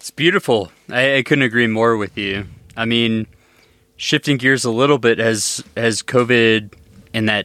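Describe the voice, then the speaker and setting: In a very clean recording with a silent background and a dry, close sound with no echo, a man speaks fairly slowly in a normal speaking voice, at a medium pitch with ordinary pitch variation. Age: 30s. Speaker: podcast host and ultrarunner. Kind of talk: casual interview chat.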